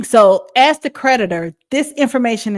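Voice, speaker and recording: On a very clean recording with a silent background, a woman with a Southern US accent speaks very slowly with ordinary pitch variation. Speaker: podcast host. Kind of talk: educational talk. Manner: drawling; halting.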